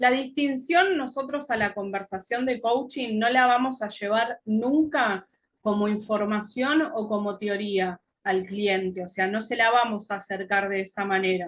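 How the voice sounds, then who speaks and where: A plain, everyday voice from a woman, fairly high in pitch, with ordinary pitch variation and a fairly slow pace. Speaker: coaching teacher. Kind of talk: lecture.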